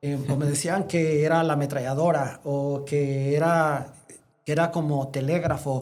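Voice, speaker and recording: Audible room echo fills the recording. A man speaks at a fairly high pitch. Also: fairly slow pace. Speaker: veterinarian and congress founder. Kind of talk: interview conversation. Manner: animated.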